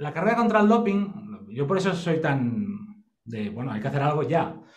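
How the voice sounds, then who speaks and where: A high-pitched man at a fairly quick pace, very wide pitch swings, with audible room echo. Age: 40s. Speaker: sports biomechanics expert. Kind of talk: casual interview.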